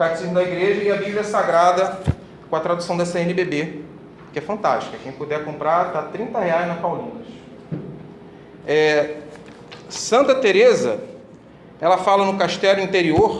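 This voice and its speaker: Amid noticeable background noise and audible room echo, a man speaks at a high pitch with ordinary pitch variation. His pace is moderate, broken by long, frequent pauses. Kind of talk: religious talk to a group.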